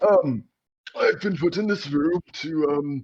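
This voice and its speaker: A man performs in a put-on character voice. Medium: actual play. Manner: hesitant, rambling.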